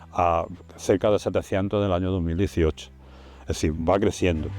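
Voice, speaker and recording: Against a quiet background, a man speaks with a very deep, low voice, a dark, mellow tone and fairly even intonation. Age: 70s. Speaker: retired conservation project director. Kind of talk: interview testimony. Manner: halting, with repetitions.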